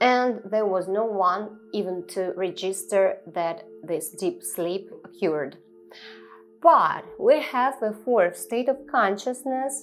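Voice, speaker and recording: A woman with a non-native accent, medium pitch and lively intonation, speaking at a very slow pace over music in the background. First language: not English. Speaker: spiritual teacher. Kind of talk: improvised spiritual talk to camera. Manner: halting, with many fillers.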